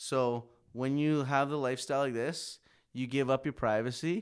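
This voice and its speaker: A man with a normal speaking voice and a Canadian accent, medium-pitched, with fairly even intonation at a fairly quick pace, in a very clean recording with a silent background. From Saskatchewan, Canada. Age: 30s. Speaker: rapper and audio engineer. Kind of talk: casual chat.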